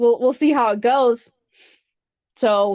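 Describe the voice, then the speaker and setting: In an American accent, a high-pitched woman speaks with ordinary pitch variation. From US South, with British mother; some time in England. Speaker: fossil preparator. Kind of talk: interview on a live podcast. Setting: live stream. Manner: hesitant, many fillers and restarts.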